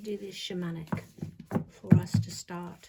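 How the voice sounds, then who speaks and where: Soft-spoken and monotone, a woman talks with flat intonation at a fairly slow pace amid noticeable background noise. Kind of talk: tarot reading. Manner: casual, hesitant. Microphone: viewers said too quiet.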